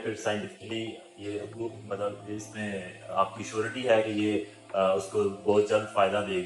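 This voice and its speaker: With music in the background, a man speaks at a fairly low pitch in a flat, monotone intonation. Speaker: interviewer. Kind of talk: interview questions.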